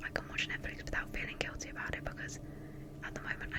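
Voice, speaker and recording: Whispering from a woman, with noticeable background noise around her. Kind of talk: ASMR whisper ramble. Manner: whispered.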